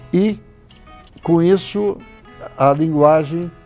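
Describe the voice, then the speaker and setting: Music plays behind a man whose voice is fairly high in pitch. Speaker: historian and writer. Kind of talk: interview answer.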